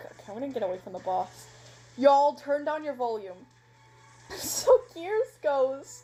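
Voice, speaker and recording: Music plays in the background as a woman with a high pitch speaks at a moderate pace, with long, frequent pauses. Her pitch swings very widely and her loudness rises and falls sharply. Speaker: roleplay narrator doing character voices.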